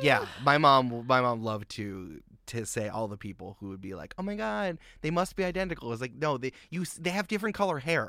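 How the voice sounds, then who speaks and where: In a very clean recording with a silent background, a man with an American accent talks at a fairly quick pace, his medium pitch making very wide swings, his loudness shifting by big amounts and his tone bright and sharp. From Westchester County, New York. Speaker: podcast producer. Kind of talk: casual chat.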